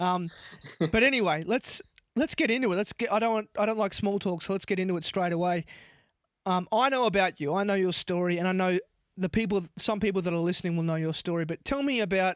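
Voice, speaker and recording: Words come at a very fast pace. The sound is dry and close, with no echo. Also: man, high pitch for a man, ordinary pitch variation. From Tasmania, Australia. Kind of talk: casual interview chat.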